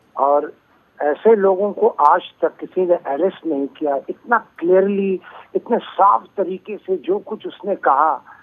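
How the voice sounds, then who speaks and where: A man with a high-pitched voice talks very slowly. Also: ordinary pitch variation. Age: 70s. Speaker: poet and lyricist. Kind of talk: phone interview. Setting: phone call.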